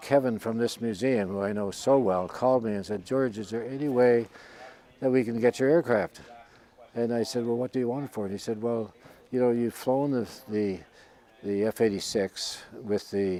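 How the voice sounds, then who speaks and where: In a Newfoundland accent, a man speaks at a moderate pace and medium pitch with fairly even intonation. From Newfoundland, Canada. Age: 80s+. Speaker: retired military pilot. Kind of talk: interview. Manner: halting.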